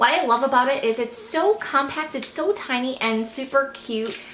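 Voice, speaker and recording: A woman speaks with ordinary pitch variation, audible room echo and light background noise. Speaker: beauty vlogger. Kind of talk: product review monologue. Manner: fast. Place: home room.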